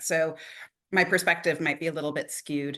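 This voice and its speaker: In a Canadian accent, the voice carries a bright, sharp tone over a quiet background. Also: woman. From Canada. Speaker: admissions consultant and education planner. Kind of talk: interview.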